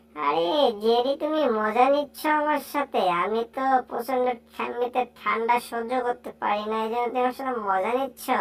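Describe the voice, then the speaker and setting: At a moderate pace, a woman uses a put-on character voice pitched high. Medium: fan dub. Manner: playful, chatty.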